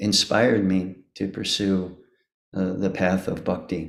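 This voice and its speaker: At a very slow pace and fairly low pitch, a man speaks with audible room echo around him. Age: 70s. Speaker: devotee giving homage. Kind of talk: devotional speech. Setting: video call. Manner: halting.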